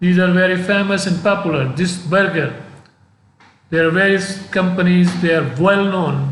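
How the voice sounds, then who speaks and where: A man with a non-native accent, high-pitched, at a moderate pace, his intonation fairly even, with audible room echo. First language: not English. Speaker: professor. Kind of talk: lecture. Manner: halting.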